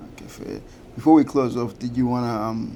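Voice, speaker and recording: Delivered at a fairly quick pace, the monotone, flat intonation carries audible room echo. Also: man. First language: not English. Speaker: podcast host. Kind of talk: podcast interview. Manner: casual.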